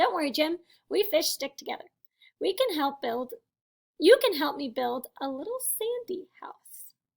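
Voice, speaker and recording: A woman uses a put-on character voice at an extremely high pitch. Her pitch swings very widely at a moderate pace. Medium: read story. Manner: small, plucky.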